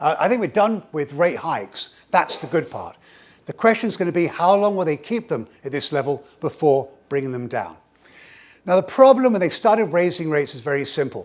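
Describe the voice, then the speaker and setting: With very wide pitch swings, a man speaks at a fairly quick pace and a high pitch. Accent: English. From England. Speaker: economist, keynote speaker. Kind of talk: keynote presentation. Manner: fast; animated.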